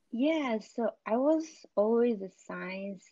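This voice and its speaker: A woman speaks in a Xinjiang accent. Her intonation is lively. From northwestern China (Uyghur region). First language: Uyghur. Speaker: scientist. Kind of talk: casual interview.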